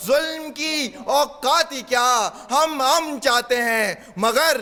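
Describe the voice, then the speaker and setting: The voice has a passionate tone that sounds bright and sharp. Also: man. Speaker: university debater. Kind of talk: humorous declamation, speech delivered in a debate. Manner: passionate, forceful, rhetorical.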